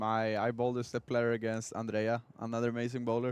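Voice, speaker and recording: A man with a plain, everyday voice, a medium pitch and a fairly quick pace. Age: 20s. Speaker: bowling commentator and bowler. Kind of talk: live commentary.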